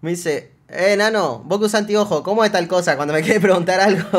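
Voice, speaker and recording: Against a quiet background, a man with a Rioplatense accent speaks in an animated tone at a high pitch. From Argentina. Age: 20s. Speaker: streamer. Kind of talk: reaction stream commentary. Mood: amused, joking. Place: home room.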